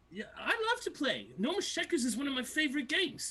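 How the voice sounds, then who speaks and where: The voice is a put-on character voice with a high pitch. It moves at a very fast pace. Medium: actual play. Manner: boastful, repetitive, game-obsessed.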